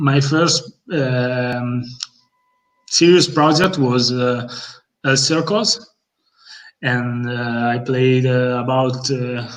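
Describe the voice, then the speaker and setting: A very slow delivery in an Italian accent, with ordinary pitch variation, long, frequent pauses and audible room echo. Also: man, medium pitch for a man. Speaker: bassist in a metal band. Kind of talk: casual interview chat. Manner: halting, many fillers.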